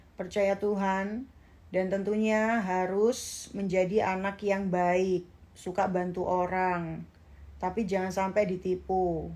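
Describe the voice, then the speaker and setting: The speaker talks at a very slow pace with a strong Javanese accent and a dark, mellow tone. The intonation stays monotone and flat, and the loudness is very even. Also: woman, medium pitch for a woman. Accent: strong Javanese (medok). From East Java, Indonesia (Jember). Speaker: social media influencer. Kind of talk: casual livestream chat. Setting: Instagram live stream.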